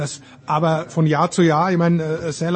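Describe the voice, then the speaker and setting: Here a man is talking. His pitch is high. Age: old. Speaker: sports commentator. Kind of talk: casual chat.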